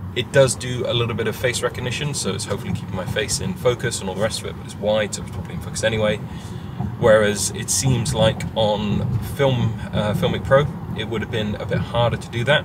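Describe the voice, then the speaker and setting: Over loud background noise, a man talks at a very fast pace with ordinary pitch variation, the sound dry with no echo. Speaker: filmmaker vlogger. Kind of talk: casual vlog chat. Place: car. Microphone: phone near.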